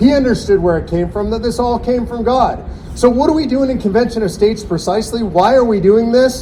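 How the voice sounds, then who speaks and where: A man with a high pitch and animated tone at a very fast pace, ordinary pitch variation, audible room echo and noticeable background noise. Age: 60s. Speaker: political activist speaking at a rally. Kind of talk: rally speech. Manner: animated, rousing.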